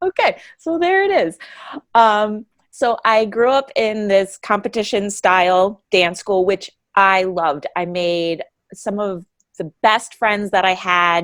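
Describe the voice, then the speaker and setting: With a downstate New York accent, a woman talks at a very slow pace in a medium pitch with ordinary pitch variation, the sound dry and close with no echo. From downstate New York (Hudson Valley). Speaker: adult ballet dancer and studio owner. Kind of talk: podcast interview. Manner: hesitant, many fillers.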